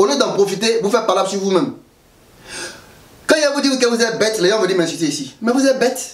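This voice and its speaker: Over noticeable background noise and audible room echo, a man with an Ivorian accent talks very fast in an animated tone, his pitch high and his intonation lively. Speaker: political commentator vlogger. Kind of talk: political commentary vlog. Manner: animated, colloquial.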